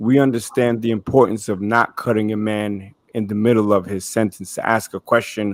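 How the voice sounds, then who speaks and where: A man talks at a moderate pace in a dry, close sound without any echo. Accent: New York. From Brooklyn, New York. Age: 50s. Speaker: panelist, former interrogator. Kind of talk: panel discussion.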